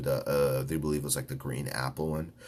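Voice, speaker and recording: The voice has vocal fry and swings very widely in pitch. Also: man. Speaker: podcast host. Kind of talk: casual podcast monologue. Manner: rambling, halting with fillers.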